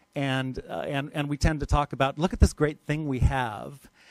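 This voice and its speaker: A fairly high-pitched man at a moderate pace. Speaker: water policy presenter. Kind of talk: workshop presentation.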